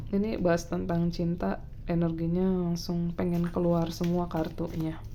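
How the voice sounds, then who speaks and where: A woman speaks in a relaxed tone at a moderate pace, with very even loudness and monotone, flat intonation. Noticeable background noise and audible room echo are present. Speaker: tarot reader. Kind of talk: casual tarot reading monologue. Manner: soft-spoken; relaxed, filler-heavy.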